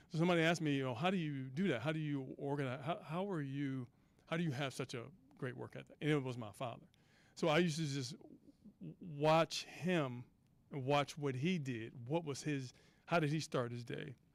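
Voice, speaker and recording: A man has a normal speaking voice with an American accent and a fairly high pitch. He talks at a fairly quick pace, with ordinary pitch variation. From US South, Mississippi. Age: 60s. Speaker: athletics director panelist. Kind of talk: panel discussion.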